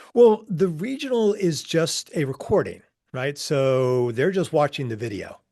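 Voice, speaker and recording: Pitched fairly high, a man's voice moves in very wide pitch swings. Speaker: professional speaker and coach. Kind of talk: interview. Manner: halting.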